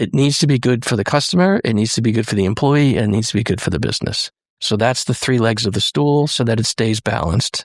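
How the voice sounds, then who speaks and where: A man with a medium pitch speaks very fast, with hardly any pauses. His intonation is lively and his loudness stays very even. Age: 60s. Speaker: restaurant owner. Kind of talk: interview. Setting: studio. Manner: candid, conversational.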